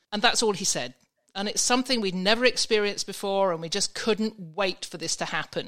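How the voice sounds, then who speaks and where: With an English accent, a woman talks at a medium pitch in a bright, sharp tone on a very clean recording with a silent background. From England. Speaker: vacation rental expert. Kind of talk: casual interview chat.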